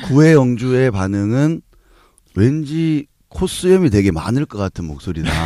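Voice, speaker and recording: Pitch swinging very widely, a man delivers his words at a fairly slow pace. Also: medium pitch for a man, dry, close sound with no echo. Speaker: podcast host. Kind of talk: casual chat.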